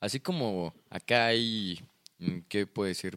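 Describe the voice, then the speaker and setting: A man talks with a Mexican accent. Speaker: podcast guest. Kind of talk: casual chat.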